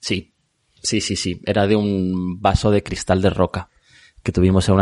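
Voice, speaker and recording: A man's very deep, low voice in monotone, flat intonation at a moderate pace, dry and close with no echo over a quiet background. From Madrid, Spain. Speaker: art podcaster and museum worker. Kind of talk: casual interview chat.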